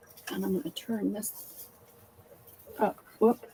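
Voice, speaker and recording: Speaking very slowly in a Southern US accent, a woman with a fairly high pitch makes very wide pitch swings. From US South. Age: 70s. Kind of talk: casual chat.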